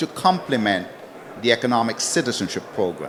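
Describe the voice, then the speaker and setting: There is noticeable background noise as a man speaks with very wide pitch swings. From Antigua. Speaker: citizenship consultant. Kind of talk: panel discussion.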